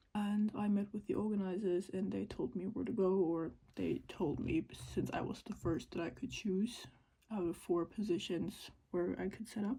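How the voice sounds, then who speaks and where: A woman speaks at a medium pitch with a dark, mellow tone and some vocal fry. Her pace is moderate and her pitch varies in an ordinary way. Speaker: crochet vlogger and small craft business owner. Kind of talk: casual vlog narration. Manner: soft-spoken.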